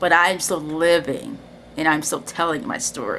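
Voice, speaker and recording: Over light background noise, a woman with a fairly low pitch speaks at a fairly slow pace with lively intonation. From Cincinnati, Ohio, US Midwest; Ohio. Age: 30s. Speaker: video creator; personal storyteller. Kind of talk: personal testimony. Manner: casual, hesitant with fillers. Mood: reflective, warm. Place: home room. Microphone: webcam.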